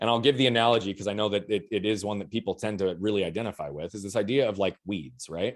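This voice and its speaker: Talking at a very fast pace, a man with a fairly low pitch is heard on a very clean recording with a silent background. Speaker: mindset and performance coach. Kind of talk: podcast interview. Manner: loud.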